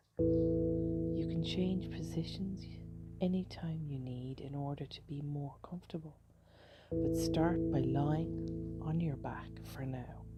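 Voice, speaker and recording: A woman speaking at a very slow pace over music in the background. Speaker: meditation guide. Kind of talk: guided sleep meditation. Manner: slow, soft-spoken.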